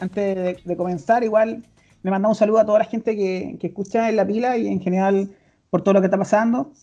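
Speaking very fast in a Chilean accent, a woman uses a dark, mellow tone at a medium pitch with fairly even intonation. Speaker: podcast host. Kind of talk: casual chat.

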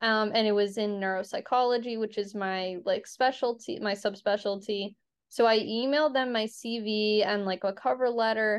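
Fairly high in pitch, a woman speaks at a moderate pace with hardly any pauses, fairly even intonation and a plain, everyday voice. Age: 20s. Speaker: PhD student and podcast host. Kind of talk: casual interview chat.

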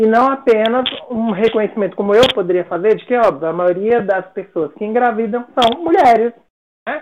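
A woman at a moderate pace, fairly high-pitched with lively intonation, a plain, everyday voice. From Brasília, Brazil. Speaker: psychology professor. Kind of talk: interview conversation.

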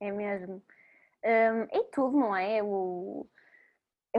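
The pitch varies in an ordinary way, and the background is quiet. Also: woman. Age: 20s. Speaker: former volunteer, project founder. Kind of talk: casual interview. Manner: hesitant, with fillers.

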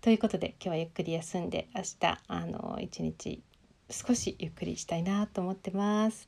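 Fairly even intonation and a dark, mellow tone mark this woman's speech. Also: big swings in loudness. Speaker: life coach and podcaster. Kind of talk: casual monologue.

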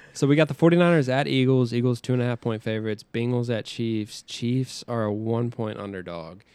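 With a plain, everyday voice, a man speaks at a moderate pace and a medium pitch, with ordinary pitch variation and hardly any pauses. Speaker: podcast co-host. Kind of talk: casual chat.

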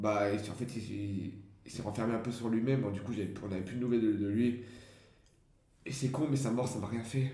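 A man speaks at a moderate pace with a slight Champagne accent, his medium-pitched voice dark, mellow and somewhat breathy, with fairly even intonation, long and frequent pauses, and audible room echo. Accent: slight rural Champagne. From Champagne-Ardenne, near Reims. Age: young. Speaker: aspiring actor and comedian. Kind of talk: casual chat.

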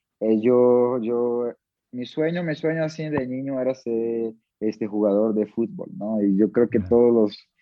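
A man with a medium pitch talks at a fairly slow pace. His pitch variation is ordinary. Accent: Portuguese. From Brazil, Manaus. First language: Portuguese (speaking Spanish). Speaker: MMA fighter. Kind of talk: interview.

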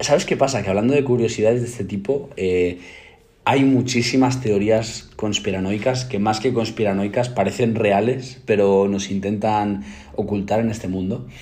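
Somewhat breathy speech at a moderate pace, with ordinary pitch variation, is heard with audible room echo. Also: man, fairly low pitch for a man. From Spain, provincial. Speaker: podcast co-host. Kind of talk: casual chat.

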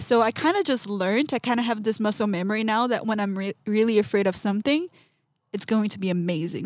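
A woman with a Portuguese accent, fairly high-pitched with ordinary variation, at a very fast pace. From Brazil, São Paulo. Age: 20s. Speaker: artist. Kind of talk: casual interview. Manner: animated.

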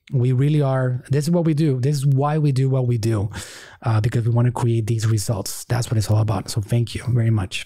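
Speaking at a fairly quick pace, a man with a medium pitch uses a dark, mellow, somewhat breathy tone, ordinary pitch variation and very even loudness. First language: Spanish. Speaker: marketing course creator and podcast host. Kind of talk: interview.

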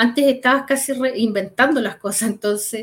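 A woman talks at a moderate pace in a fairly high pitch with fairly even intonation. It is an ordinary speaking voice. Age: 50s. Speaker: project manager. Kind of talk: casual chat.

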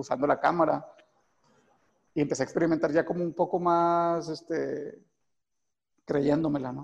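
A man talks at a fairly slow pace. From Mexico, Monterrey (Guadalupe, Nuevo León). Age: 30s. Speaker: film director. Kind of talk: interview. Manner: halting, many fillers and repetitions.

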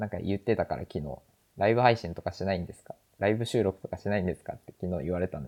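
A man's fairly low voice at a very fast pace, with ordinary pitch variation and big swings in loudness. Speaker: podcast host. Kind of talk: casual chat. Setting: remote recording.

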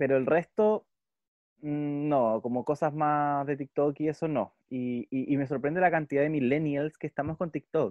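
Fairly slow, fairly even speech from a man with a fairly high pitch, in a Chilean accent. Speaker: podcast co-host. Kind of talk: casual chat.

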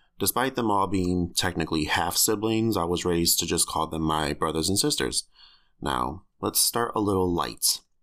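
Over a silent background in a very clean recording, a man with an American accent speaks at a moderate pace in a very deep, low voice with vocal fry and very even loudness. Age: 20s. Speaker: podcaster telling memoir. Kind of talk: scripted-style personal memoir narration. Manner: candid, casual, conversational.

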